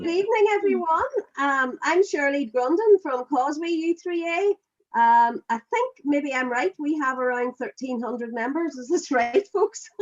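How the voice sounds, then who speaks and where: Hardly pausing, a woman with a Northern Irish accent talks at a moderate pace and a high pitch, with very wide pitch swings. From Ireland. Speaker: quiz team captain. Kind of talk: casual chat.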